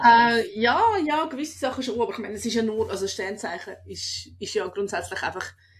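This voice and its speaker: The woman's intonation is lively. She talks at a fairly quick pace. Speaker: comedian and podcast host. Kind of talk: casual podcast talk.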